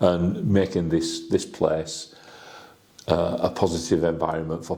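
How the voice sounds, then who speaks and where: A man with a very deep, low pitch is heard through noticeable background noise. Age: 60s. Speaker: football fan and community organiser. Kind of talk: interview. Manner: halting, repetitive false starts.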